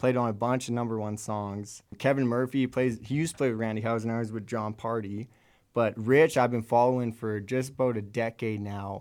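A normal speaking voice with a Canadian accent goes at a fairly quick pace and fairly even intonation, recorded very cleanly against a silent background. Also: man, medium pitch for a man. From Alberta, Canada. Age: 20s. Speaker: freelance drummer. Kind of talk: casual interview. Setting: studio.

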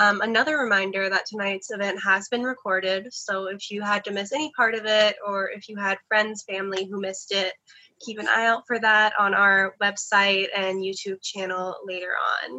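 In an unremarkable speaking voice, a woman speaks at a moderate pace and medium pitch, with fairly even intonation and big swings in loudness. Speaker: bookstore event host. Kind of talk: event introduction. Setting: video call.

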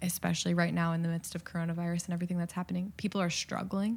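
In a very clean recording with a silent background, a woman with an American accent speaks in a fairly low pitch, somewhat breathy and with monotone, flat intonation. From US Midwest. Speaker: middle school advisor, former missionary. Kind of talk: interview.

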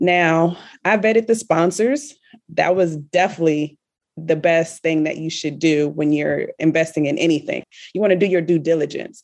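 A woman with an American accent has a plain, everyday voice, fairly low in pitch. She talks at a moderate pace with ordinary pitch variation. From US South, Richmond, Virginia. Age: 30s. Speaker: real estate investor. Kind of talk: interview.

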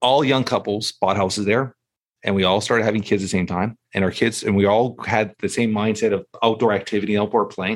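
A man speaks in a normal speaking voice, fairly low in pitch, at a fairly quick pace with fairly even intonation. The recording is very clean, with a silent background. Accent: Canadian. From Toronto, Canada. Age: 40s. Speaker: podcast host and entrepreneur. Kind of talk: casual interview chat.

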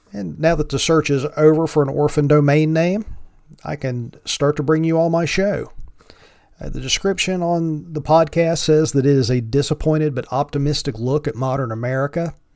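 With an Appalachian accent, a man speaks at a moderate pace, his fairly high pitch showing ordinary variation. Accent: Appalachian Southern US. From Virginia mountains, Appalachia. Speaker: podcast host. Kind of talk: solo podcast intro, casual monologue. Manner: joking, casual.

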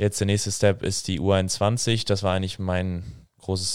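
A man's very deep, low voice in a flat monotone, on a very clean recording with a silent background. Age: 20s. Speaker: hockey player and psychology student, podcast co-host. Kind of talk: casual conversation.

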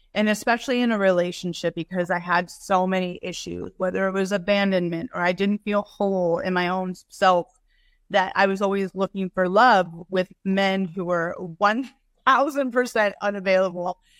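A plain, everyday voice speaks at a moderate pace with fairly even intonation, the sound dry and close with no echo. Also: woman, medium pitch for a woman. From Northern California. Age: 50s. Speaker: author and fitness coach. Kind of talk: casual interview.

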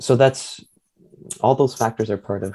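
A man's dark, mellow voice with vocal fry and a Canadian accent, at a moderate pace with fairly even intonation. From Ontario, Bruce Peninsula (Owen Sound). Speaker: typeface designer and researcher. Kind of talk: interview.

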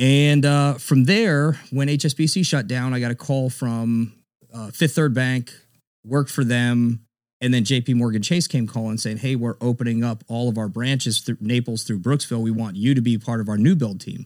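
Speaking at a moderate pace with an American accent, a man uses an unremarkable speaking voice of medium pitch and ordinary pitch variation on a very clean recording with a silent background. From South Florida (Broward County). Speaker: realtor and Marine veteran. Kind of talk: interview. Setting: podcast studio. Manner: casual.

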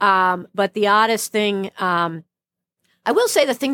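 A woman with an American accent talks at a moderate pace in an ordinary speaking voice, with ordinary pitch variation, on a very clean recording with a silent background and a dry, close sound with no echo. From Brooklyn, New York. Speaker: plastic surgeon. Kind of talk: interview conversation.

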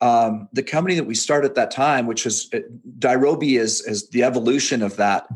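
A man speaks at medium pitch in a Canadian accent, with ordinary pitch variation. He has an unremarkable speaking voice. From western Canada, near Seattle. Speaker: fitness coach and entrepreneur. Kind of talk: casual interview.

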